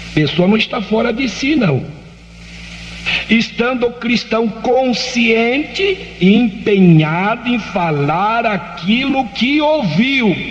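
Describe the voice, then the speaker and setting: With audible room echo and noticeable background noise, a man speaks very slowly in a high pitch with lively intonation. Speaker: pastor. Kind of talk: lecture.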